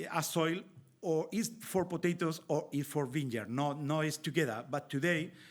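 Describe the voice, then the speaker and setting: With a Spanish accent, the speaker talks at a fairly slow pace with ordinary pitch variation in a very clean recording over a silent background. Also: man. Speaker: winemaker and viticulture expert. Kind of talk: panel presentation. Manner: halting.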